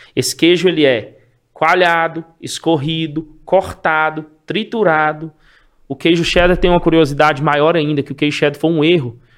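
Here is a man with an ordinary speaking voice, pitched fairly high. He keeps a moderate pace and fairly even intonation. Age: 40s. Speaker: cheese wholesaler. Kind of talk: casual interview chat.

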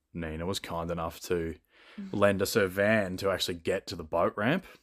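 Recorded very cleanly against a silent background, a man speaks with an Australian accent in a very deep, low voice and fairly even intonation. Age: 20s. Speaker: podcast guest, fitness content creator. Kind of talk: casual chat.

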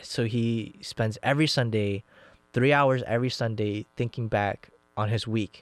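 Recorded very cleanly with a silent background and a dry, close sound with no echo, a man speaks in a plain, everyday voice at a medium pitch, fairly slowly, with fairly even intonation. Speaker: podcast host. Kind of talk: casual chat.

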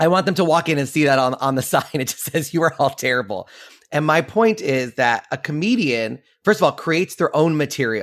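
A man with an American accent and a plain, everyday voice talks at a fairly quick pace, his pitch fairly high and his intonation lively. The recording is very clean, with a silent background. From New York City. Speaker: comedian and magician. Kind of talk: interview.

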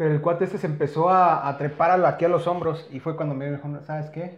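A man's fairly high voice, monotone and flat, at a fairly quick pace. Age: 30s. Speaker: podcast co-host. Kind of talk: casual chat.

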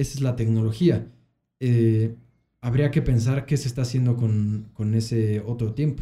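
Somewhat breathy, with a dark, mellow tone, a man speaks at medium pitch and a moderate pace. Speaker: podcast host. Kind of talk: casual chat.

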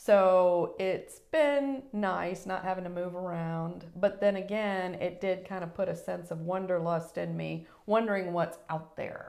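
With hardly any pauses, a woman with an American accent speaks at a medium pitch amid audible room echo. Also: ordinary pitch variation, fairly slow pace. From Virginia (Newport News), US South. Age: 50s. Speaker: mortgage broker. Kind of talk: interview, personal testimony.

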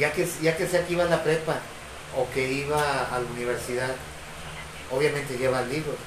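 Against noticeable background noise and audible room echo, a man with a fairly high pitch speaks at a fairly quick pace, using fairly even intonation and long, frequent pauses. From Ciudad Victoria, Tamaulipas, Mexico. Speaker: guest. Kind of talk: casual chat.

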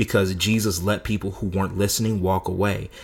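In a very clean recording with a silent background, a man with a fairly low, somewhat breathy voice talks at a fairly quick pace in a monotone, flat intonation. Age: 30s. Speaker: minister and podcast co-host. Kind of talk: casual faith discussion.

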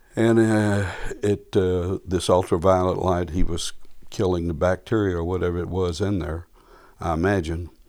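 This man speaks at a moderate pace in a very deep, low voice with monotone, flat intonation. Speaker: panelist. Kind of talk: casual chat.

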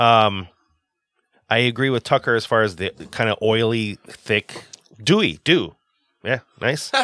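Using long, frequent pauses, a man speaks at a fairly slow pace and medium pitch with ordinary pitch variation, his tone bright and sharp in a dry, close sound with no echo. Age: 40s. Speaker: podcast co-host. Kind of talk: casual chat. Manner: playful.

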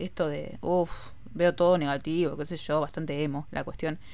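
Keeping a moderate pace, a woman with a very deep, low pitch speaks in fairly even intonation. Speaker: podcast host. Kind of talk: casual monologue.

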